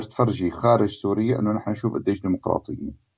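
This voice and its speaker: The speaker is a man with vocal fry. He talks at a moderate pace. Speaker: cinematographer. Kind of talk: interview.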